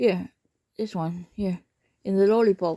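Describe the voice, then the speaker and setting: Delivered with a Dutch accent, this voice has a dark, mellow tone and fairly even intonation at a fairly slow pace. The sound is dry and close, with no echo. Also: woman. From Netherlands. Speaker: pet owner vlogger. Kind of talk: casual talk to pet while filming. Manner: encouraging, coaxing.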